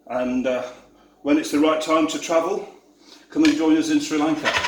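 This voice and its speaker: A man with a Yorkshire accent speaks at a moderate pace in a fairly high pitch, his intonation flat and monotone, with noticeable background noise and audible room echo. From Yorkshire, northern England. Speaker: tour operator. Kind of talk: cooking tutorial. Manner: casual, chatty.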